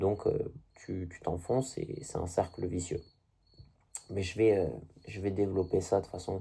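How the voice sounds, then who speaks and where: Somewhat breathy and very deep, a man's low voice moves at a moderate pace with fairly even intonation and long, frequent pauses. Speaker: video blogger. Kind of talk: casual monologue to camera. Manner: halting.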